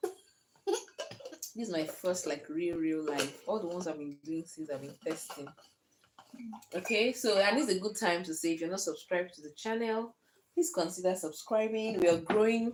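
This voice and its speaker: A woman speaks at a medium pitch with lively intonation and big swings in loudness. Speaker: lifestyle vlogger, homemaker mother. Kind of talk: casual vlog talk to camera. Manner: fast.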